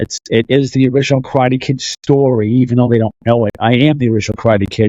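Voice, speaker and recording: A man with a Boston accent and fairly even intonation, dry and close with no echo, over a quiet background. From Boston, Massachusetts. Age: 50s. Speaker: fitness and martial arts coach. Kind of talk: casual interview chat.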